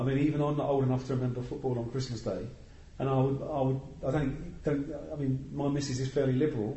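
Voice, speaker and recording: A man talks at a very fast pace in a medium pitch. His delivery is somewhat breathy, with monotone, flat intonation. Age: 50s. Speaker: football fanzine panelist. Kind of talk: casual chat.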